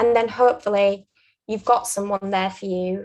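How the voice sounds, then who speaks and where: With a Yorkshire accent, a woman speaks at a moderate pace and a medium pitch. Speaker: aspiring barrister sharing interview advice. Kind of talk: interview advice conversation.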